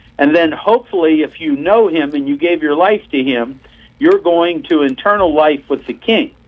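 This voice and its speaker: A normal speaking voice, a man with an American accent, fairly high in pitch, ordinary pitch variation, moderate pace. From Pennsylvania. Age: 60s. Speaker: missionary preacher. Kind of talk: testimony.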